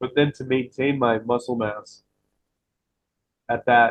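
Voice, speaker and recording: This man talks at a medium pitch in a monotone, flat intonation. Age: 40s. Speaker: fitness coach. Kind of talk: casual chat. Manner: conversational, many fillers.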